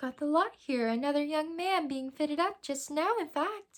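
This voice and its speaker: A woman performs a put-on character voice at a high pitch. She keeps a moderate pace. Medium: read story. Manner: friendly, businesslike.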